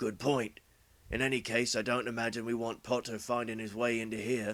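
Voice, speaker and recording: In a put-on character voice, a man speaks at a medium pitch with a raspy sound. His intonation is monotone and flat, and his pace is fairly quick. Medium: read story. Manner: gruff, curt.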